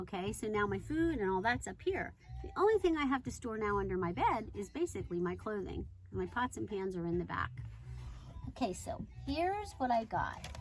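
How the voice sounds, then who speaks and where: A woman talks fairly quickly, with music in the background. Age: 60s. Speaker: van camping vlogger. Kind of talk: casual vlog chat. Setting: inside her camper van.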